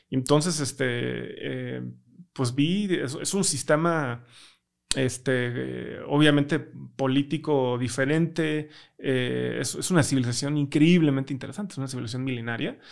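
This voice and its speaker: With a Mexican accent, a man talks at a fairly slow pace using ordinary pitch variation. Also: quiet background. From Mexico. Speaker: tech startup founder; podcast guest. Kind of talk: interview conversation. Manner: hesitant, many fillers. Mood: relaxed, reflective. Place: studio. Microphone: studio mic.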